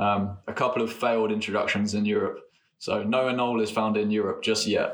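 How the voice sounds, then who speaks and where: A man with an English accent at a fairly quick pace, medium in pitch, monotone and flat in intonation, and very even in loudness. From England. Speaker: postdoctoral biologist. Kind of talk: casual chat.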